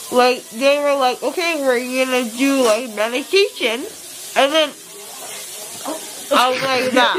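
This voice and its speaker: A woman speaks fairly slowly in a high, tearful voice. Light background noise is present. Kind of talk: casual vlog chat. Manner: groggy, tearful post-anesthesia slurred speech. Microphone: phone near.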